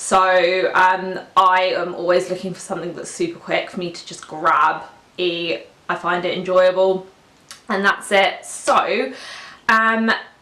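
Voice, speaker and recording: With a British accent, a woman of medium pitch speaks fairly slowly, keeping her intonation fairly even while her loudness swings widely. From UK. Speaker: lifestyle vlogger. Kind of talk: casual vlog talk to camera. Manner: hesitant, many fillers.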